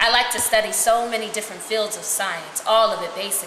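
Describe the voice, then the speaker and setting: A woman speaks at a fairly quick pace with noticeable background noise behind her. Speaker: reader of prisoner letters. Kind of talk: dramatic reading of a letter. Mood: earnest, calm. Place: home room. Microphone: camera far.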